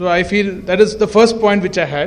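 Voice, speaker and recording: Loud and high-pitched, a man talks at a fairly quick pace over noticeable background noise. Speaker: facade consultant presenter. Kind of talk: presentation at an event.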